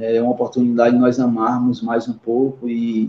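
Using a plain, everyday voice, a man speaks at a moderate pace with lively intonation. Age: 40s. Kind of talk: casual chat.

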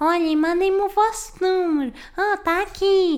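A woman speaks at a very slow pace in a European Portuguese accent. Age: 20s. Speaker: podcaster. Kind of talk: casual monologue. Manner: animated.

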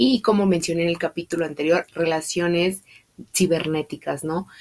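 The pace is moderate. Intonation is fairly even. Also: woman. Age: 20s. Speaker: podcast host. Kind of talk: casual monologue.

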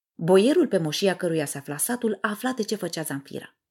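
A woman speaks at a moderate pace and medium pitch, her voice swinging very widely in pitch, in a very clean recording with a silent background. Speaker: podcast host, communication coach. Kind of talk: scripted lecture; storytelling monologue.

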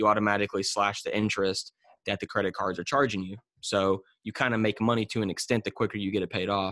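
A man with a fairly low voice talks very fast in a flat monotone, recorded dry and close with no echo against a quiet background. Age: 20s. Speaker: finance entrepreneur. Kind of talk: interview.

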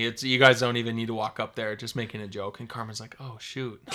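With a Minnesota accent, the speaker moves at a fairly quick pace in a bright, sharp tone. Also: man. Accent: Upper Midwest (Minnesota) American. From northern Minnesota. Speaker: podcast guest, host's husband. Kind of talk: casual chat.

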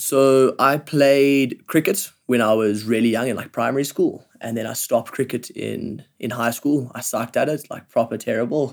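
A man speaks with a South African accent and fairly even intonation. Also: medium pitch for a man, moderate pace. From South Africa, Johannesburg. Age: 20s. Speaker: professional climber, Olympian. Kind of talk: casual interview chat. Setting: living room couch at home.

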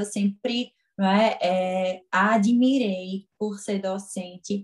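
The voice is somewhat breathy, its intonation fairly even. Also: woman. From Pernambuco, northeastern Brazil (Garanhuns). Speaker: physiotherapist and lecturer. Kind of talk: interview.

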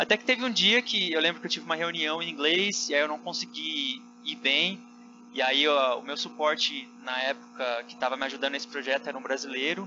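At a fairly quick pace, a man with a fairly high pitch speaks with lively intonation over noticeable background noise. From Brazil, São José dos Campos (São Paulo state). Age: 30s. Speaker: engineer living abroad. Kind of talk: casual interview chat.

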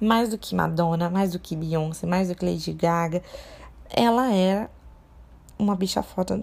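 A woman speaks at a medium pitch with ordinary pitch variation and a dark, mellow tone. The recording is very clean, with a silent background. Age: 20s. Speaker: podcast host on fashion. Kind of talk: solo podcast monologue. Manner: casual, with frequent filler hesitations.

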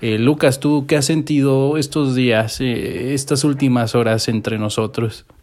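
With a Mexican accent, a man of medium pitch talks at a very slow pace with fairly even intonation. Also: hardly any pauses. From Mexico, Morelia, Michoacán. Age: 20s. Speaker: podcast co-host. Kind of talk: casual chat. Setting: home.

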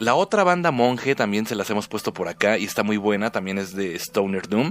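A man talks at a moderate pace in a fairly low pitch, with ordinary pitch variation and music playing behind him. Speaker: radio host. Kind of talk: casual radio show. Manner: subdued, listless delivery.

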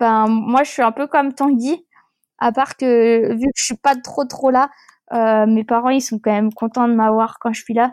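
In a dry, close sound with no echo, a woman speaks at a high pitch with fairly even intonation. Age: 20s. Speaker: professional whitewater kayaker. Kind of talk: interview, casual chat. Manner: halting, many fillers.

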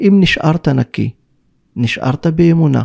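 Lively in intonation but fairly slow in pace, a man speaks in a dark, mellow tone with a dry, close sound and no echo. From Israel, Druze village in the north. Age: 40s. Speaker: spiritual mentor. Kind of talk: interview.

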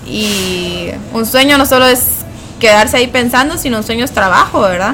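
Noticeable background noise behind a woman's fairly high-pitched voice, with ordinary pitch variation and a moderate pace. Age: 20s. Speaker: graduate student. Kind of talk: interview.

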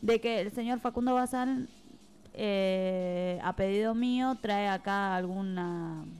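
In a Buenos Aires accent, a woman speaks at a medium pitch with ordinary pitch variation. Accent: Argentine Spanish (Buenos Aires area). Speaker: radio host. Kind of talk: casual radio chat. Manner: animated.

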